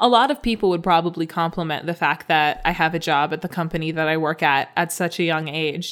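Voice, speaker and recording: A woman talks at a fairly quick pace with hardly any pauses, in a normal speaking voice with a fairly low pitch. The recording is very clean, with a silent background. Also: ordinary pitch variation. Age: 20s. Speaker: podcast co-host, storyteller. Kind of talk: casual chat.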